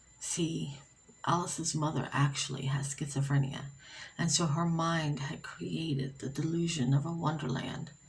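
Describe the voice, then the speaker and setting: Soft-spoken and very deep in pitch, a woman talks at a moderate pace with ordinary pitch variation over noticeable background noise. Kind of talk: ASMR story reading for sleep. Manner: soft-spoken, relaxing.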